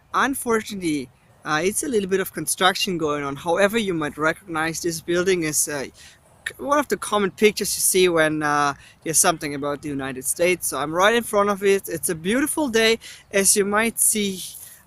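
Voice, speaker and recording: Talking fairly quickly in a German accent, a man uses a high pitch, lively intonation and a bright, sharp tone. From East Germany. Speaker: travel vlogger and researcher. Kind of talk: travel vlog. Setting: outdoors in city.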